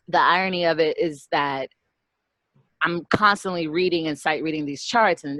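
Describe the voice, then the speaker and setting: A loud, animated woman's voice, fairly low in pitch and bright and sharp in tone, dry and close with no echo against a quiet background. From US mid-Atlantic (DC area), born in Brazil. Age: 30s. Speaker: punk singer and bassist. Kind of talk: interview.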